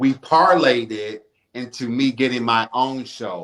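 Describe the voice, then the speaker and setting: A man of medium pitch speaks at a very slow pace. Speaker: radio talk show host. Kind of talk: casual interview.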